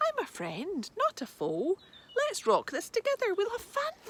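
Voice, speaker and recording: A squeaky put-on character voice at an extremely high pitch, timid in tone, at a moderate pace. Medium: read story.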